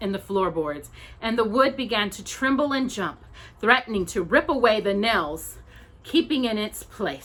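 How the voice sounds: The clip features a natural reading voice.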